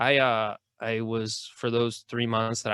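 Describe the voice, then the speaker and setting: The man's voice sits at a medium pitch. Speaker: podcast host. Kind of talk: casual chat. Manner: loud; casual, filler-heavy speech.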